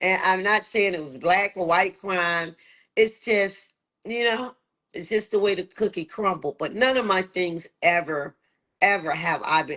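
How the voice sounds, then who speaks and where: A woman with an American accent, medium pitch and ordinary pitch variation, at a fairly slow pace. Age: 60s. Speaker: local politician. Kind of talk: interview. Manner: halting, many fillers.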